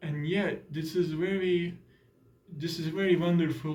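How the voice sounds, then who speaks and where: A man with a Turkish accent, a dark, mellow, somewhat breathy tone, a moderate pace and audible room echo. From Turkey. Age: 20s. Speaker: exchange student. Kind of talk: casual interview. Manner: halting, many fillers.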